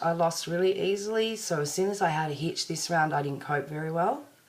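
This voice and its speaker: The intonation is lively. The pace is moderate. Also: woman. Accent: Australian. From Australia. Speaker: vlogger. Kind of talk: personal video diary. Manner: casual, rambling.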